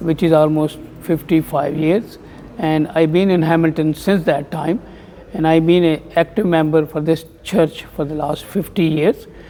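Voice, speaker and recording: A man speaks at a moderate pace, and background noise is noticeable. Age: 70s. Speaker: temple community member. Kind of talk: interview. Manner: halting.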